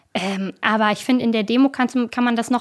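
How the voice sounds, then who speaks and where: A woman speaks with fairly even intonation. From northern Germany, Bremen. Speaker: activist, volunteer program leader. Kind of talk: interview.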